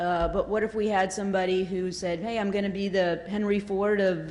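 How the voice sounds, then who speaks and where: In a Southern US accent, a woman talks at a fairly quick pace and medium pitch, her intonation monotone and flat, with audible room echo. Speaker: audience member asking a question. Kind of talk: audience question at panel. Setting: conference hall with audience.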